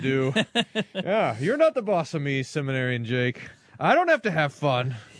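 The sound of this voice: What comes through is an unforced reading voice.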